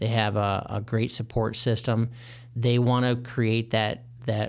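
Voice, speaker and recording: In an American accent, a man at a medium pitch speaks with monotone, flat intonation. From Michigan. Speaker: mortgage consultant. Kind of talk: casual interview.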